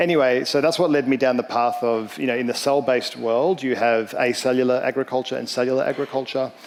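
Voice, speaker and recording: A man with an Australian accent speaks at a very fast pace and medium pitch, with fairly even intonation and hardly any pauses. Noticeable background noise is present. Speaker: startup founder and CEO. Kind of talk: panel discussion.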